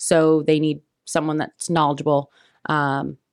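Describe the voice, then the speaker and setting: A woman's very deep, low voice in a flat monotone, dry and close with no echo, on a very clean recording with a silent background. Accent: Midwestern US. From Indiana, US Midwest. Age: 20s. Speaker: real estate agent. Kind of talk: interview.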